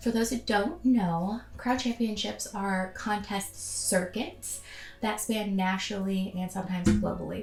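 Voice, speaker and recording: Music can be heard behind the speaker. She is a woman, and her delivery is fairly slow. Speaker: cosplay YouTuber. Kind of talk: casual vlog talk to camera. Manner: casual with many filler ums.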